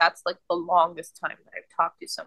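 A woman's voice comes through dry and close, with no echo. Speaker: podcast co-host. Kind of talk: casual chat.

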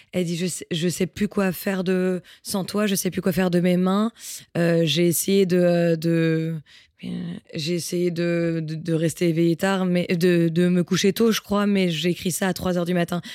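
A woman talks at a fairly slow pace in a fairly low, flat monotone. The recording is very clean, with a silent background. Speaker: singer-songwriter. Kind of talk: casual chat.

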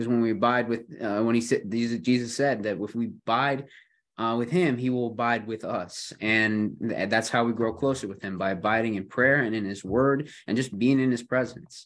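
Against a quiet background, a man with an American accent speaks at medium pitch. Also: ordinary pitch variation, moderate pace. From Buffalo, New York. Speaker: podcast host. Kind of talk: casual chat. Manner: hesitant, filler-heavy.

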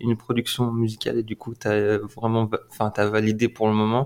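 A man uses a normal speaking voice, talking at a medium pitch and a moderate pace. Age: 20s. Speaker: podcast host's younger brother, aspiring DJ. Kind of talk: casual chat.

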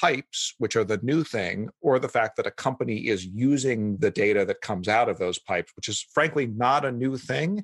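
A man with a normal speaking voice talks at medium pitch and a moderate pace, with ordinary pitch variation, against a quiet background in a dry, close sound with no echo. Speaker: policy head at a data company. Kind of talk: panel interview.

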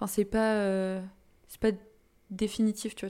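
A woman talks at a very slow pace in a medium-pitched voice. Her tone is dark and mellow, and her intonation stays flat and monotone. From Brittany, France (Saint-Brieuc, Côtes d'Armor). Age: 20s. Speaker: podcast guest, music fan. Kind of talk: casual chat.

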